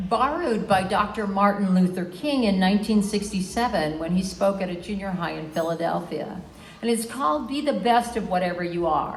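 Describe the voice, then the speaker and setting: A woman at medium pitch talks at a moderate pace with hardly any pauses. Audible room echo and noticeable background noise surround her voice. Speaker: lactation educator honored at retirement event. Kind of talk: farewell speech.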